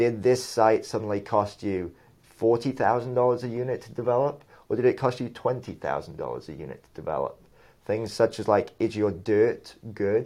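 A man at medium pitch speaks in a dark, mellow tone with ordinary pitch variation. His pace is moderate, with big swings in loudness. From England, moved to US around fifth grade. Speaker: real estate developer. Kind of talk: casual interview.

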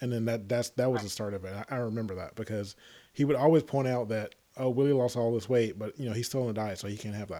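A man with a Southern US accent talks at a very fast pace and a medium pitch. His tone is dark and mellow, his intonation fairly even. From Tennessee. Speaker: podcast host. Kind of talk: casual chat. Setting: remote call.

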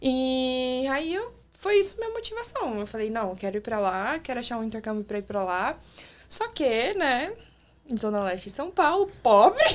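A woman speaks at a high pitch. Her voice moves through very wide pitch swings. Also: moderate pace. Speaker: former au pair. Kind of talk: casual chat. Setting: studio.

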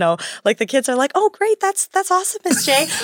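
Recorded dry and close with no echo, a woman speaks with lively intonation. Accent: Upper Midwest. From Wisconsin. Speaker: teacher. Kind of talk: casual interview. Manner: animated.

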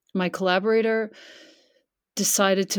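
Speaking at a moderate speed, a woman uses an ordinary speaking voice pitched in the middle range. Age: 50s. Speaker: yoga and meditation teacher. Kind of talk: casual chat.

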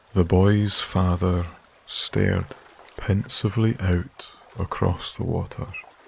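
At a very slow pace, a man with a fairly low pitch talks in a calm, soothing tone with fairly even intonation over noticeable background noise. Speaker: sleep story narrator and channel creator. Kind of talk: scripted fairy-tale bedtime narration, soft-spoken ASMR reading. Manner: soft-spoken, slow, calm and soothing, with gentle storyteller pacing and long pauses; warm, hushed, unhurried storytelling.

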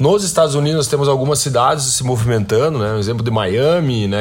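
Over noticeable background noise, a man with a Brazilian accent speaks with ordinary pitch variation. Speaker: podcast host. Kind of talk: news commentary. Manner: frequent fillers and hesitations.

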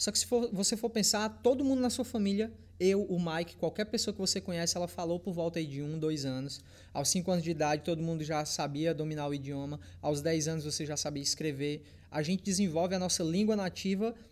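In a very clean recording with a silent background, a man with a high pitch talks at a fairly quick pace. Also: ordinary pitch variation. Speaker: fitness YouTuber. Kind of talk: casual chat.

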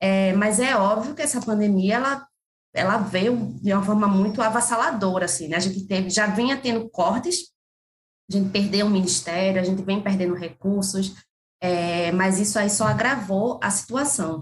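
A woman with a northeastern Brazilian accent, ordinary pitch variation and very even loudness. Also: medium pitch for a woman, moderate pace. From Pernambuco, Brazil (Camaragibe, near Recife). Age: 30s. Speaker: cultural producer and consultant. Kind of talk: interview conversation.

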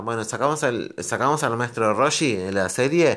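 Ordinary pitch variation runs through a voice whose tone is bright and sharp. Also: man. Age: 30s. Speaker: podcast host. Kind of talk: solo monologue podcast. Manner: halting, many fillers.

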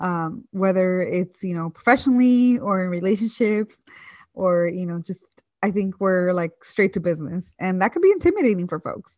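A woman at a moderate pace, medium pitch, ordinary pitch variation. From San Francisco Bay Area (Hayward, East Bay). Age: 20s. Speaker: podcast co-host. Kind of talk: casual chat.

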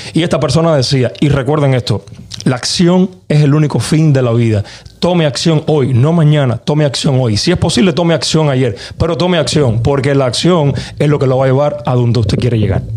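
With noticeable background noise behind him, a man talks at a fairly quick pace and fairly high pitch, showing ordinary pitch variation and very even loudness. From Cuba. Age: young. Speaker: musician. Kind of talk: casual chat.

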